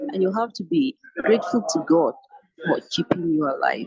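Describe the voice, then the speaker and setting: Somewhat breathy and medium in pitch, a woman speaks at a fairly slow pace with very wide pitch swings, in a dry, close sound with no echo. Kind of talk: testimony.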